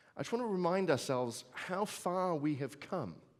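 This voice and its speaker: A man speaks with a strong British accent. His pitch swings very widely at a moderate pace. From Britain. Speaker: futurist speaker. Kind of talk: keynote talk. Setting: stage with audience. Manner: conversational, with fillers.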